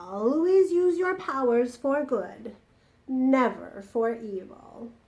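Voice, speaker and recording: A woman's put-on character voice, high-pitched and at a very slow pace. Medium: read story.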